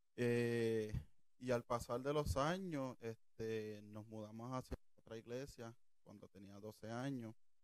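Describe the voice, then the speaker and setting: Speaking very slowly in a Puerto Rican accent, a man uses a medium pitch with ordinary pitch variation. His loudness swings widely. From Puerto Rico, Toa Alta. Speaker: church usher. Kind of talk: testimony interview.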